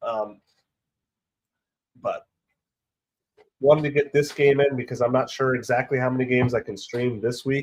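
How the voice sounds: A raspy man at a medium pitch and fairly slow pace, with fairly even intonation.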